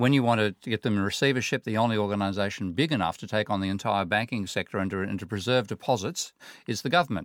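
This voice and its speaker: Speaking very fast with an Australian accent, a man with a fairly low pitch and ordinary pitch variation is captured in a dry, close sound with no echo, in a very clean recording with a silent background. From Australia, Sydney. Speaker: economics professor. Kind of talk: panel discussion. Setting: studio.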